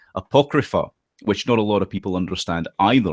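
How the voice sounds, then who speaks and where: With a strong Scottish accent, a man speaks at a fairly low pitch with ordinary pitch variation, the sound dry and close with no echo on a very clean recording with a silent background. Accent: thick Scottish. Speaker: political commentator and occult philosopher. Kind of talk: podcast interview. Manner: halting, many fillers.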